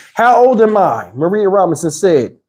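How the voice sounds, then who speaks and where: A man's dark, mellow tone. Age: 50s. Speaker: YouTuber. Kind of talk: live stream chat. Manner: casual, conversational.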